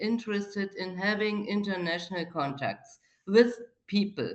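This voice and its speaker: A woman at a medium pitch, with ordinary pitch variation. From East Germany. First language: German. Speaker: participant in a video call. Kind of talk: casual chat. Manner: halting.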